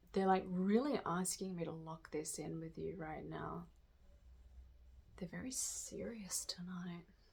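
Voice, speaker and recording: A woman's fairly low, somewhat breathy voice at a fairly slow pace, with long, frequent pauses and ordinary pitch variation. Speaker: tarot reader. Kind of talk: channeled spiritual reading. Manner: halting.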